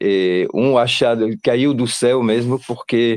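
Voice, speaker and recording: This man talks at a fairly slow pace in a medium pitch, his intonation fairly even. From Belgium. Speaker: parent of a student. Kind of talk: testimony. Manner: halting.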